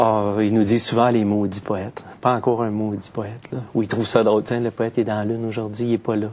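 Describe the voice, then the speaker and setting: With a Quebec accent, a man speaks at a fairly quick pace with hardly any pauses over noticeable background noise. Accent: Québécois. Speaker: poet. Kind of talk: interview. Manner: hesitant, many fillers.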